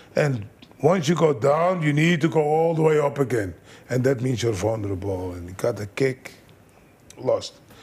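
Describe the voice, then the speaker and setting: Somewhat breathy, a man talks at a medium pitch and moderate pace. His intonation is lively, with long, frequent pauses. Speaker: kickboxing trainer. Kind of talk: interview.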